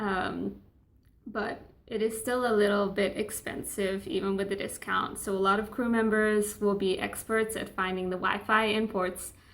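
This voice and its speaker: A woman speaks at a moderate pace in a flat, monotone delivery, with audible echo from the room. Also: medium pitch for a woman. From Australia. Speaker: travel vlogger, cruise ship crew member. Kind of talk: casual vlog talk to camera. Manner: chatty, informal.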